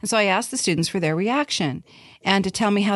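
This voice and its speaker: A plain, everyday voice from a woman, medium in pitch with lively intonation, dry and close with no echo, against a quiet background. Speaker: podcast host. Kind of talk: casual chat.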